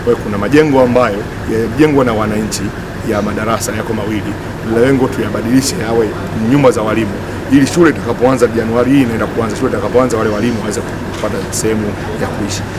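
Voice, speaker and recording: A man rattles along at a very fast pace while noticeable background noise sits behind him. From Tanzania. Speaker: member of parliament. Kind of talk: press statement. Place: street.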